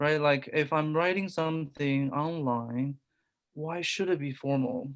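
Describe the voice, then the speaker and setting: This speaker, with a non-native accent, talks at a fairly slow pace. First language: not English. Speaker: discussion group participant. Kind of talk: group discussion.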